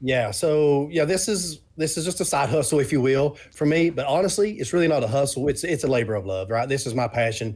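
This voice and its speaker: In a very clean recording with a silent background, a man speaks somewhat breathily at a fairly quick pace in a fairly high pitch, with lively intonation and hardly any pauses. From Eastern Kentucky. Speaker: board game designer. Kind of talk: interview.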